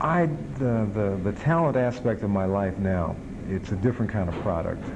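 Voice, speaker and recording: A man speaks with an American accent in a fairly low pitch at a moderate pace, with lively intonation. Audible room echo and noticeable background noise are present. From Chicago. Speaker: TV movie host and radio disc jockey. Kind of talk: interview.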